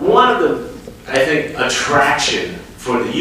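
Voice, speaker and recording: Strong room echo fills the recording, along with light background noise. A man speaks at a fairly slow pace. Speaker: company president on a panel. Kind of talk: panel talk answer. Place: stage.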